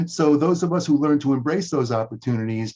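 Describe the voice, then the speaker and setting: The voice has a dark, mellow tone and is somewhat breathy, moving at a fairly quick pace with ordinary pitch variation. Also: man. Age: 60s. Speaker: chiropractor and coach. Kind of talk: interview. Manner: repeats words at starts of sentences.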